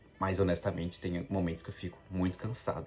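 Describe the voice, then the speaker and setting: The talking proceeds at a moderate tempo. Music can be heard behind it. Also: man. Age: 20s. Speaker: travel vlogger. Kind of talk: casual vlog monologue. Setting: abroad in Japan.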